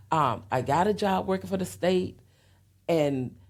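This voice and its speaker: A woman with a Southern US accent speaks at a very deep, low pitch with very wide pitch swings and vocal fry. The recording is very clean with a silent background. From US South (Florida, Alabama, Tennessee). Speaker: interview guest. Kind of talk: personal testimony in interview. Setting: podcast interview.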